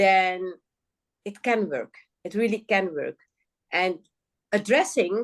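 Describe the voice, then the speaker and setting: A woman speaks at a medium pitch with ordinary pitch variation. Her pace is very slow, with long, frequent pauses. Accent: Dutch. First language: Dutch. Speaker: guest, local government or justice reformer. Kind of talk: podcast interview conversation. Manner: searching for words, halting.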